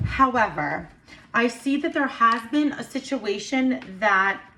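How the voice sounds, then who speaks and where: A woman speaks in an animated tone at a high pitch, with noticeable background noise behind her. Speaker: tarot and intuitive reader. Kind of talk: astrology card reading monologue. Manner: stuttering at moments; casual, animated.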